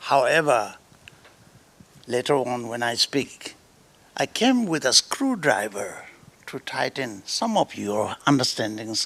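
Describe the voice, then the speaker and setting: A man with an Indian accent at a medium pitch, ordinary pitch variation, a very slow pace and long, frequent pauses. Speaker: Bön lama. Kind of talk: spiritual talk. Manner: repetitive, checks understanding.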